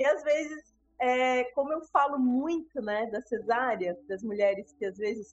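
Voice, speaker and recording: High pitch and a fairly slow pace from a woman's voice. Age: 30s. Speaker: doula. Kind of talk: interview about her birth story.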